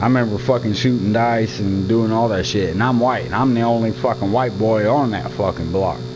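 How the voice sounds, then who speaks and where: With hardly any pauses, a man at medium pitch speaks at a fairly quick pace in an animated tone, with audible room echo and noticeable background noise. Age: 30s. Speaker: gamer streamer. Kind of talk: casual chat.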